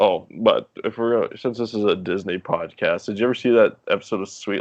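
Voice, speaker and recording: A man speaks with a North Dakota accent. His pace is moderate. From North Dakota (Minot). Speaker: podcast guest, former water park lifeguard. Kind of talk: casual chat.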